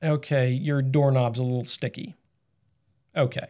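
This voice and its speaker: A man with a fairly high pitch and a dark, mellow tone speaks at a fairly slow pace. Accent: American. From Massachusetts. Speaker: carpenter and business co-owner. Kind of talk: casual interview.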